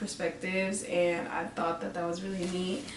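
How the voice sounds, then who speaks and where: This woman's medium-pitched voice comes through noticeable background noise and audible room echo. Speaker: music review vlogger. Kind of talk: casual vlog review. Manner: fast; animated.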